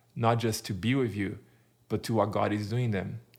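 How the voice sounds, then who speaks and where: Here a man speaks at a moderate pace in a fairly low voice with a Portuguese accent. His intonation is monotone and flat, and the recording is very clean with a silent background. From Brazil. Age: 40s. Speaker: church planter. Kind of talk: interview conversation.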